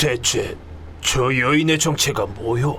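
Using a put-on character voice, a man speaks at a fairly slow pace and a medium pitch over clear background noise. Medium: audio drama. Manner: gruff, blunt.

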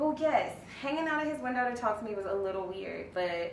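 Audible room echo surrounds the voice. Light background noise is also present. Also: woman. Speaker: actor in a scripted scene. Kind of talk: casual phone chat. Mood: candid, slightly defensive. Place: home room.

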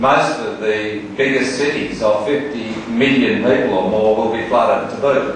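A man speaks at a fairly slow pace with fairly even intonation. The room echoes strongly, and there is light background noise. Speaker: politician. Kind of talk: political speech.

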